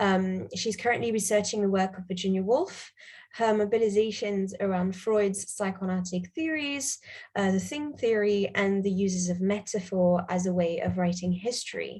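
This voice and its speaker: Speaking at a moderate pace, a woman with a medium pitch sounds somewhat breathy and uses ordinary pitch variation. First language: not English. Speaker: panel chair. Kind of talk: conference moderation. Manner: hesitant, many fillers.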